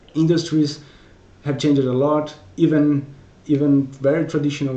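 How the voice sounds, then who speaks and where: A man with a Portuguese accent at a moderate pace, with audible room echo. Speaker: technical solutions consultant. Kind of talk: conference talk. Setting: virtual conference presentation. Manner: hesitant, frequent repetitions.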